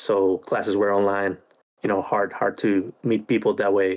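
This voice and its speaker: A man with a Spanish accent, fairly low in pitch, speaking in a flat monotone at a moderate pace on a very clean recording with a silent background. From Chile. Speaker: podcast co-host, army officer. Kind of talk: casual chat. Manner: hesitant, many fillers and repeats.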